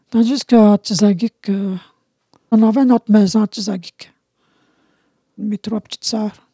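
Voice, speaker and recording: A somewhat breathy voice with a dark, mellow tone moves at a fairly slow pace with long, frequent pauses, fairly even intonation and big swings in loudness, in a dry, close sound with no echo. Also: woman. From Quebec, Abitibi (Anishinabe community). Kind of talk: testimony. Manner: halting.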